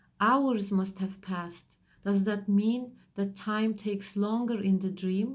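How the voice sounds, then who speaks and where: A woman talks at a fairly slow pace in a somewhat breathy voice of medium pitch. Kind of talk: audiobook reading.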